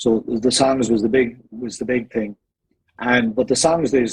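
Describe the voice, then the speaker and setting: With an Irish accent, a man speaks at a moderate pace. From Ireland, County Meath. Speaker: singer in vocal harmony group. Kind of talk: casual interview.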